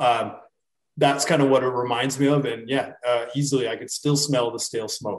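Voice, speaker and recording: A man with a Canadian accent speaks at a moderate pace and medium pitch. His intonation is monotone and flat. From Canada. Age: 30s. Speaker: sports betting handicapper. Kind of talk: casual chat.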